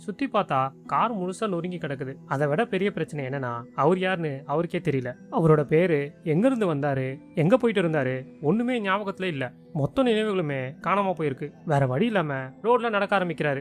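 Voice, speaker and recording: A man's high-pitched voice with lively intonation, music in the background. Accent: Chennai. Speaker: movie explainer narrator. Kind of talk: movie plot recap narration. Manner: casual, conversational.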